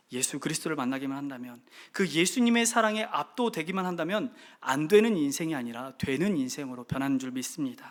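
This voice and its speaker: Against a silent background, this very clean recording captures fairly quick speech. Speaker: pastor. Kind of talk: sermon. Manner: fast.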